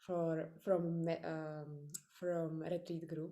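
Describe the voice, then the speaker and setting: Very slow and in a Czech accent, a woman with a fairly low pitch and dark, mellow tone speaks against audible room echo. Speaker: podcaster. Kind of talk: interview. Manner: halting.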